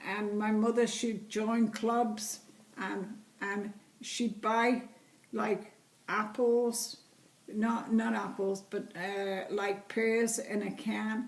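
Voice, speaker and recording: A woman with a Liverpool accent speaks very slowly at a fairly high pitch in a monotone, flat intonation, with audible room echo. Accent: Liverpool (Scouse) English. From England, Liverpool. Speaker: interviewee, great-grandmother. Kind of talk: family interview.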